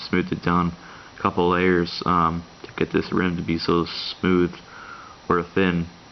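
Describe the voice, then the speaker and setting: A man's very deep, low voice in monotone, flat intonation, over noticeable background noise. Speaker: coin collecting YouTuber. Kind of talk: casual show-and-tell video. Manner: hesitant, many fillers.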